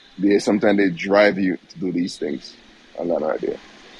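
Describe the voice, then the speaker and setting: A man talks at a fairly quick pace with a fairly low pitch. Background noise is noticeable. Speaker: caller. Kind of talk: casual chat.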